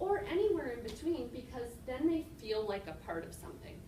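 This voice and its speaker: A woman with an Upper Midwest accent speaks at a moderate pace with very wide pitch swings, over noticeable background noise and audible room echo. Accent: Upper Midwest American. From Minnesota (Shakopee). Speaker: community committee member, real estate agent. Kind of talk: public meeting remarks.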